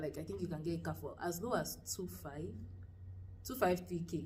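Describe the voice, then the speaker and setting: A woman with a Nigerian accent, at a moderate pace. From Lagos, Nigeria. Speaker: university student. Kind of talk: casual talk to camera.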